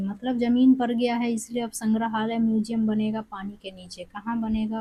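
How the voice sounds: A woman's fairly high, dark and mellow voice at a moderate pace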